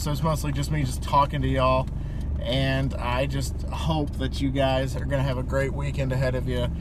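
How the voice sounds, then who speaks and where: Noticeable background noise sits behind a man speaking at a moderate pace in a dry sound with no echo. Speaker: vlogger. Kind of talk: casual vlog chat. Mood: cheerful, relaxed. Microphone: phone near.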